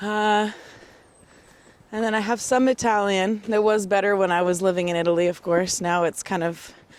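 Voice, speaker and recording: The speaker keeps a fairly even intonation at a moderate pace. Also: woman, medium pitch for a woman. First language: Bulgarian. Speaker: interviewee. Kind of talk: casual chat. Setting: outdoors.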